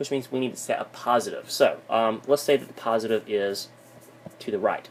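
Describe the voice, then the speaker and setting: Here a man is talking. His pace is fairly quick. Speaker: physics teacher. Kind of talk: lecture. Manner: fast.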